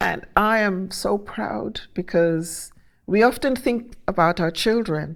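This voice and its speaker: A woman's medium-pitched voice at a very slow pace, with ordinary pitch variation, on a very clean recording with a silent background. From Guyana. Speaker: leadership consultant. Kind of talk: interview. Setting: stage with audience.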